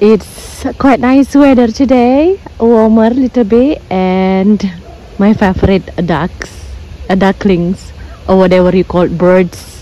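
With noticeable background noise behind her, a woman speaks at a very slow pace and very even loudness. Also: medium pitch for a woman, ordinary pitch variation. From Bali, Indonesia. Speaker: travel vlogger. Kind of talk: vlog narration. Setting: outdoors.

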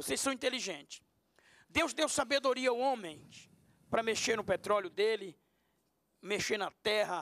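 A man's high-pitched voice at a fairly slow pace, dry with no echo, over a quiet background. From Brazil. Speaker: pastor. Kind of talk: panel debate. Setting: TV studio. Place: studio. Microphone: handheld.

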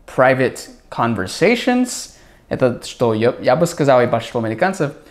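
A man is talking at a moderate pace. He speaks with an American accent. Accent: American accent in Russian. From USA. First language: English (speaking Russian). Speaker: English tutor, YouTuber. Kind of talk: video reaction commentary.

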